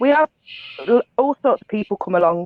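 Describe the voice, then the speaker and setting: A woman speaks with a Liverpool accent. Her pitch is fairly high, with ordinary variation. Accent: Scouse. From Liverpool, England. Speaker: paranormal investigation team leader. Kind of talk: casual chat.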